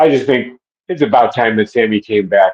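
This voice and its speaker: In an American accent, a man talks at a moderate pace and medium pitch in an ordinary speaking voice, the sound dry and close with no echo. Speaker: stadium public address announcer. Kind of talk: interview answer.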